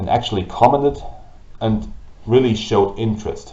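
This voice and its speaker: The speaker has a German accent. Audible room echo surrounds the voice. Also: man. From Germany. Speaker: gaming YouTuber and streamer. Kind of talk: vlog monologue. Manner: halting. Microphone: old camera, low quality.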